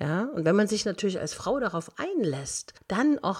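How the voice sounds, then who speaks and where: A woman's pitch swings very widely. She keeps to a moderate pace. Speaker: motivational coach, podcast host. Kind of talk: advice monologue.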